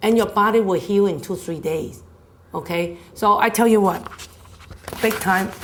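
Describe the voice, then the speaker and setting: A woman speaks at a medium pitch with fairly even intonation and a moderate pace, leaving long, frequent pauses. Noticeable background noise and audible room echo are in the recording. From China. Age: 60s. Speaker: health speaker. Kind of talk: health talk. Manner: conversational.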